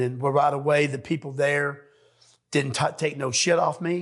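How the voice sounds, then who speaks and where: A man speaks at a moderate pace in a fairly high, somewhat breathy voice with fairly even intonation over a quiet background. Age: 60s. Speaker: recovering addict, navy veteran. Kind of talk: testimony. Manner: halting.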